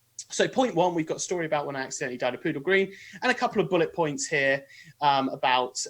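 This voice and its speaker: Speaking very fast, a man has a British accent. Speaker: author and podcaster. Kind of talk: interview / live webinar explanation. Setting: live video stream. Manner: hesitant, many fillers.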